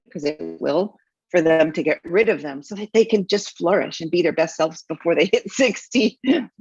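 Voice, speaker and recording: Music plays in the background as a woman speaks in a dry, close sound with no echo. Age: 60s. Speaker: business mentor. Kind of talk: interview.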